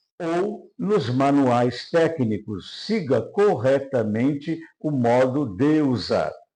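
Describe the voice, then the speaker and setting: Very slowly, a man speaks in a dark, mellow tone with lively intonation. Room echo is audible. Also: fairly high pitch for a man. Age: 70s. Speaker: NLP trainer. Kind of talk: lecture. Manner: formal.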